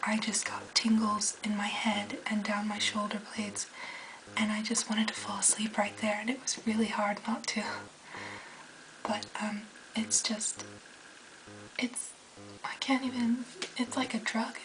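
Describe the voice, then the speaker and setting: A woman's fairly high voice in a monotone, flat delivery, with long, frequent pauses and noticeable background noise. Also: fairly slow pace. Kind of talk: casual talk to camera. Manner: soft-spoken.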